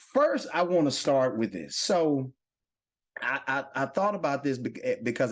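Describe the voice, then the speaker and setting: Against a quiet background, a man with a Southern US accent speaks in an animated tone with lively intonation. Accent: Southern drawl. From Louisville, Kentucky. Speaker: podcast host. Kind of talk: casual chat. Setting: coffee shop set.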